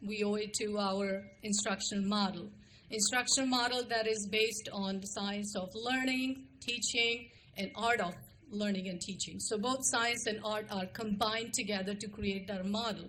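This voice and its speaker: Amid audible room echo, a woman with an Indian accent speaks at a moderate pace in a monotone, flat intonation. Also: medium pitch for a woman. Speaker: school administrator. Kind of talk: formal presentation to a board.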